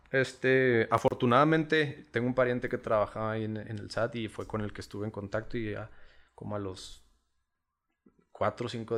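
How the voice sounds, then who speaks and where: Medium-pitched man, a normal speaking voice, big swings in loudness, moderate pace, very clean recording with a silent background. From Chihuahua, northern Mexico. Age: 30s. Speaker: sotol producer and entrepreneur. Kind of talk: casual interview over drinks.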